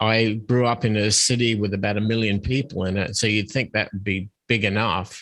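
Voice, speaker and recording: Speaking at a moderate pace with an Australian accent, a man holds a fairly low pitch and fairly even intonation on a very clean recording with a silent background. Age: 50s. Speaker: podcast guest, musician. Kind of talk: interview.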